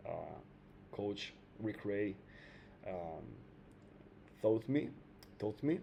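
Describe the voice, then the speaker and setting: A man's fairly low voice in an Italian accent, very slow, with long and frequent pauses. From Italy. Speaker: trading video creator. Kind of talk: casual trading tutorial. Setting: home, air conditioning on. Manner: hesitant, many fillers.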